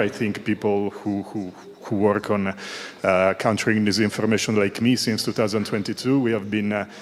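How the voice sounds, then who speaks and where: With an Italian accent, a man speaks over noticeable background noise. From Italy. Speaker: audience member asking a question. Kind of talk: conference Q&A question. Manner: halting, many fillers.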